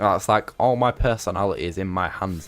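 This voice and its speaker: With music in the background, a man with an English accent speaks at a very deep, low pitch. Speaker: gaming streamer. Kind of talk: casual chat. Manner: animated.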